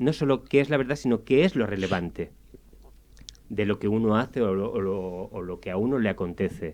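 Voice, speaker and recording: A man with a fairly low pitch talks at a fairly quick rate, his pitch varying in an ordinary way. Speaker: radio columnist. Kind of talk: radio interview discussion.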